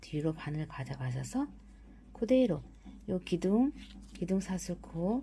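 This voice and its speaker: A woman talks at a very slow pace, pausing often and at length. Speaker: crochet instructor. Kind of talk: crochet tutorial narration. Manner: subdued, low-energy; slow, step-by-step.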